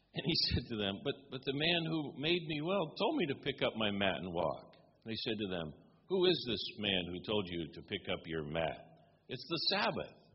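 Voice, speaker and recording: A man's medium-pitched voice with vocal fry, very wide pitch swings and a moderate pace. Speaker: visiting preacher and professor. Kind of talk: sermon. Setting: church. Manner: informal, humorous.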